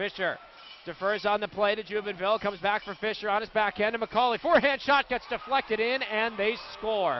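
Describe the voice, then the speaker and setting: A man with a high pitch sounds excited and talks at a fairly quick pace, his pitch variation ordinary. Noticeable background noise is present. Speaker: radio play-by-play announcer. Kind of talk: live sports commentary, hockey play-by-play. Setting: arena broadcast at the game. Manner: fast, excited, rapid-fire calls that rise on goals.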